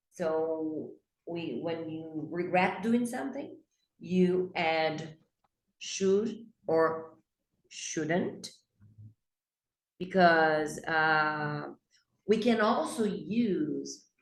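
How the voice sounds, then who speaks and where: In a Brazilian accent, a woman speaks at a very slow pace and a fairly low pitch, with long, frequent pauses and audible room echo. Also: ordinary pitch variation. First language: Portuguese. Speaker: English teacher. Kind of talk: online English lesson.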